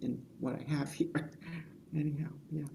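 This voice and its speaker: A woman's dark, mellow tone with vocal fry. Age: 60s. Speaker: filmmaker. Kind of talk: panel Q&A discussion.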